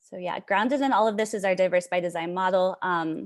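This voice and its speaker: A woman in an ordinary speaking voice, medium pitch and ordinary pitch variation, at a fairly quick pace against a quiet background. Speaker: charter school founder presenting. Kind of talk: presentation.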